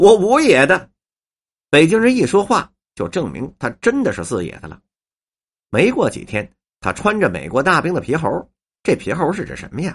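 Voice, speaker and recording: In a Beijing accent, a man speaks at a fairly slow pace. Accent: Beijing Mandarin. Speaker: writer and storyteller. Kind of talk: scripted narration.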